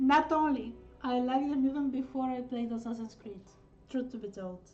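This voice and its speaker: In a Bulgarian accent, a woman talks at a fairly quick pace and high pitch with fairly even intonation. Her loudness swings widely, and noticeable background noise is present. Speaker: artist livestreamer. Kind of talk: casual livestream chat while drawing. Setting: livestream. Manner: hesitant, filler-heavy.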